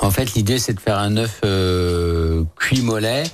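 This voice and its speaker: In a very clean recording with a silent background, a man speaks fairly slowly in a normal speaking voice with ordinary pitch variation. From Lyon, France. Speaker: chef and restaurant owner. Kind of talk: casual radio interview. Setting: radio studio.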